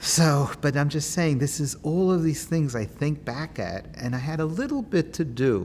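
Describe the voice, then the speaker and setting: A man with a New York accent. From Queens, New York City. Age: 60s. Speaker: oral history interviewee, activist. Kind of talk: oral history interview. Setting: synagogue.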